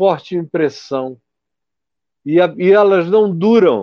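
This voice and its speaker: Speaking at a very slow pace, the man has a high-pitched voice. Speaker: pastor. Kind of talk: interview conversation on faith and healing. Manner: long-winded explanations.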